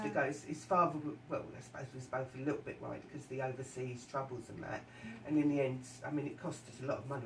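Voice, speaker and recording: Very fast speech from a woman with a very deep, low pitch, fairly even intonation and big swings in loudness, against noticeable background noise. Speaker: radio presenter. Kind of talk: radio interview questions.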